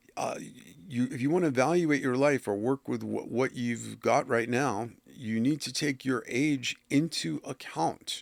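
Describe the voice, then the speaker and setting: At a fairly slow pace and medium pitch, a man talks with ordinary pitch variation in a very clean recording with a silent background and a dry, close sound with no echo. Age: 60s. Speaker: oracle creator and life philosophy talker. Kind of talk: casual monologue. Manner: hesitant, many fillers.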